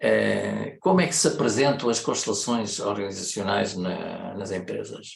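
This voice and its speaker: The speaker has a European Portuguese accent and a fairly slow pace. The room echo is audible. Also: man. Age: 70s. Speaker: consultant and systemic facilitator. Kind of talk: lecture. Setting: online meeting. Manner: hesitant, many fillers.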